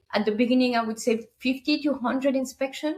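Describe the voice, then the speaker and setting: A high-pitched woman with a French accent and ordinary pitch variation. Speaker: short-term rental business owner. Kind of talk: casual interview chat.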